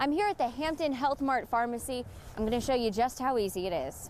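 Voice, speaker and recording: Lively in her intonation, a woman speaks with a high pitch and an American accent. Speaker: TV investigative reporter and fill-in anchor. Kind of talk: on-location live standup report.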